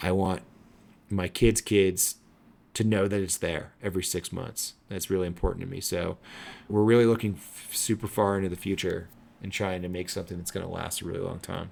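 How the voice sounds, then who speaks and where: A man with an ordinary speaking voice, fairly low in pitch, with fairly even intonation and a fairly quick pace, on a very clean recording with a silent background. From upstate New York. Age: 40s. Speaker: magazine editor and owner. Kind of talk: podcast interview.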